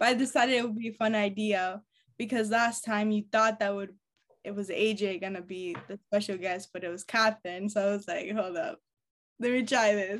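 A woman speaks with a plain, everyday voice at a medium pitch. Her intonation stays fairly even. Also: moderate pace. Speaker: podcast host. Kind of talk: casual chat. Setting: video call.

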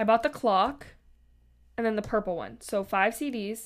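A woman's fairly high voice with vocal fry. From Canada. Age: 20s. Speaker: podcast host. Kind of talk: casual chat.

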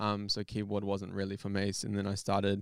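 In a very clean recording with a silent background, a man with a New Zealand accent talks at a fairly quick pace, his fairly low pitch held in flat, monotone intonation. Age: 20s. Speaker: photographer and videographer. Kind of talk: casual chat.

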